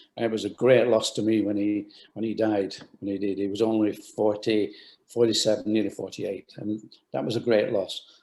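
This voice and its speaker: A man talks in a Lancashire accent. His tone is dark and mellow, with monotone, flat intonation. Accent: northern English (Lancashire). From Bolton, England. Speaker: retired sports shoe company founder. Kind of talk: interview answer.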